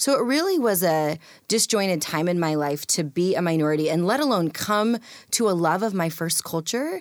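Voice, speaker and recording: A woman with an American accent has an ordinary speaking voice, fairly low in pitch, with lively intonation at a moderate pace. The recording is very clean, with a silent background. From rural US, adopted from India as a toddler. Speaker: author and speaker. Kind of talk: interview.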